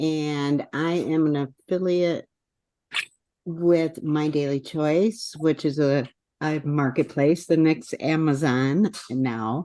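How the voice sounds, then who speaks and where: Delivered at a very slow pace, the speech has a dark, mellow tone, fairly even intonation and an American accent. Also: woman, very deep, low pitch for a woman. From US Midwest, northwest Wisconsin. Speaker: network marketing affiliate. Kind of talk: casual chat.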